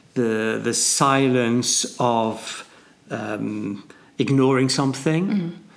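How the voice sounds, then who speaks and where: A man talks at a very slow pace while noticeable background noise continues. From northern England. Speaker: podcast co-host, mathematician and businessman. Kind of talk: casual chat.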